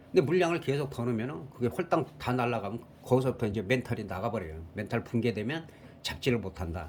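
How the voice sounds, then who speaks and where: At a very fast pace, a man with a medium pitch talks with lively intonation. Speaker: stock market commentator. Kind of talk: market analysis talk.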